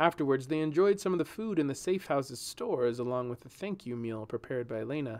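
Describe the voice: The text is simply read aloud, with no frills. Its intonation is lively.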